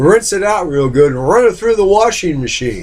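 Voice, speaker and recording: This man has a high-pitched voice with an American accent. His tone is animated, and his pitch swings very widely. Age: 60s. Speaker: hobby machinist vlogger. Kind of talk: casual monologue. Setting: home computer room.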